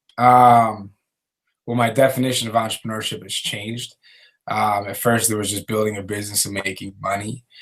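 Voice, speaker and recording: A man with an American accent speaks at a fairly quick pace. His intonation is flat and monotone, with big swings in loudness. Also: fairly low pitch for a man. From US Northeast, Philadelphia. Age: 20s. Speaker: entrepreneur. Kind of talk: interview. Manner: hesitant, many fillers.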